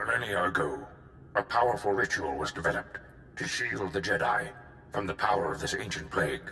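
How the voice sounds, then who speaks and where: A man talks at a fairly quick pace in a put-on character voice. Clear background noise sits behind him. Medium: video game. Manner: measured, thoughtful.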